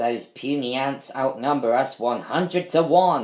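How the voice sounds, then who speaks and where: Putting on a character voice, a man keeps to a medium pitch. His pace is fairly slow. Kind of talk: villainous. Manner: menacing.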